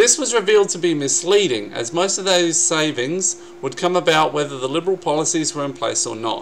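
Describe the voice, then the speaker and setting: This man, with an Australian accent, has a fairly high pitch and lively intonation. He speaks at a fairly quick pace over light background noise. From South Australia. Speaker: YouTube vlogger. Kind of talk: angry political rant, vlog-style commentary on election results. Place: home room. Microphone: webcam.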